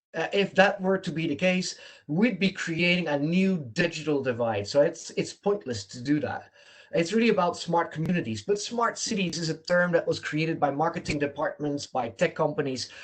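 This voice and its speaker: A man with a Dutch accent, fairly high in pitch, lively in intonation, and at a fairly quick pace. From Netherlands. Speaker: smart city consultant. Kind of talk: lecture. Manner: halting.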